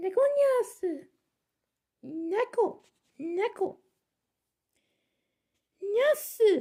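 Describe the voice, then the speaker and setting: Someone puts on a character voice at an extremely high pitch. The delivery is very slow, with long, frequent pauses. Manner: cutesy cat-like.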